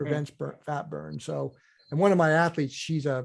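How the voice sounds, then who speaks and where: A man talks at a fairly quick pace with a fairly high pitch in a plain, everyday voice. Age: 60s. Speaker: endurance nutrition coach and ultra athlete. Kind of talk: podcast interview. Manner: casual, repetitive with many fillers and restarts.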